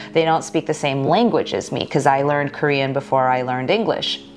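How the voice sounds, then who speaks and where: There is noticeable background noise. Through it, a woman speaks with an American accent. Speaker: YouTube creator. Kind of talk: casual chat.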